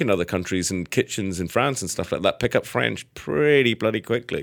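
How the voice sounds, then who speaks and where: Heard on a very clean recording with a silent background, a man with a Scottish accent speaks at a moderate pace with lively intonation. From Scotland, Edinburgh. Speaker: chef. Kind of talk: casual chat. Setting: studio.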